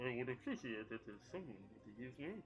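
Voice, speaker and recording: A man does a put-on character voice at medium pitch and a moderate pace. Clear background noise can be heard. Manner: polite, courteous.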